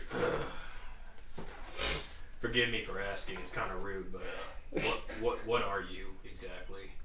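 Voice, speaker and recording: Using a put-on character voice, a man speaks at a fairly slow pace with a slight echo and loud background noise. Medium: actual play. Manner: casual, blunt.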